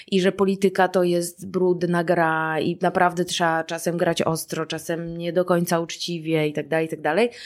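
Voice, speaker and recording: This woman's voice sits fairly low. She speaks at a moderate pace. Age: 40s. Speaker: climate and social activist. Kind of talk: casual chat. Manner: animated.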